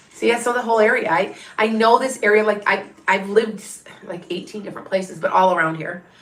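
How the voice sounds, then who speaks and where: A woman speaks fairly quickly in a fairly high voice with lively intonation, with audible room echo and noticeable background noise around her. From southern Wisconsin near Illinois state line. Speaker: tarot reader and medium. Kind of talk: live stream psychic reading. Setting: live stream. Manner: chatty, halting with restarts.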